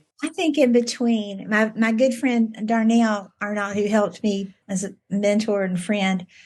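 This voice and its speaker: A woman with a Southern US accent speaks at a fairly slow pace with hardly any pauses. Her fairly high voice keeps a fairly even intonation. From US South, Virginia. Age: 60s. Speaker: debut novelist. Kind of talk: interview. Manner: halting, many repetitions and fillers.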